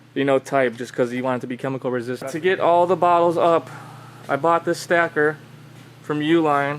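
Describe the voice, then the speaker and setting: Speaking at a fairly quick pace, a man has a plain, everyday voice with fairly high pitch and fairly even intonation. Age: 20s. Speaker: ecommerce business owner. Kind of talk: casual vlog talk to camera. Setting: warehouse. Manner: casual, informal.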